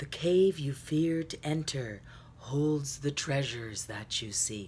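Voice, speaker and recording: In a put-on character voice with a low-to-middle pitch, someone speaks at a fairly slow pace over clear background noise. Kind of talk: solemn, theatrical. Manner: dramatic, inspirational.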